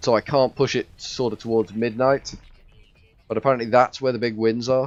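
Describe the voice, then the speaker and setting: Music sits in the background as a man talks fairly quickly at a medium pitch in a flat monotone, the sound dry and close with no echo. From northwest England, Liverpool area. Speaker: video game streamer. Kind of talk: live gameplay commentary. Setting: live stream. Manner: chatty, talkative.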